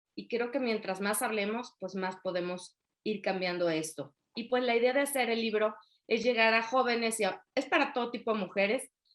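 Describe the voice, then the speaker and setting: Over a quiet background, a woman in a Yucatecan accent speaks at a moderate pace in a fairly high pitch with ordinary pitch variation. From Mexico, Yucatán (Mérida). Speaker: author and women's coach. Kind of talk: interview.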